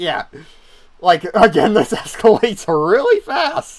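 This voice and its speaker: At a very slow pace, a man speaks with a high pitch and lively intonation. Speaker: vtuber commentating on his old videos. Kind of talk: livestream commentary. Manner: casual, filler-heavy.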